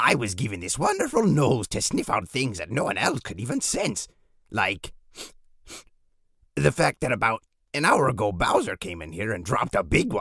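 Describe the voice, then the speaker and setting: A man is speaking. His pace is moderate. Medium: comedy sketch. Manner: scheming, boastful.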